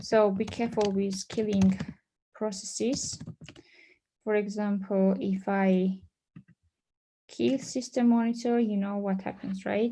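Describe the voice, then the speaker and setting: A woman's dark, mellow, somewhat breathy voice sits at a medium pitch, moving at a fairly slow pace with fairly even intonation and long, frequent pauses. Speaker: conference presenter on databases; conference presenter. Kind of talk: technical presentation. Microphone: video call.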